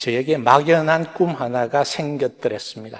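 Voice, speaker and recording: A man with a Busan accent speaks at a fairly slow pace. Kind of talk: sermon. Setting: stage with audience. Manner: soft-spoken.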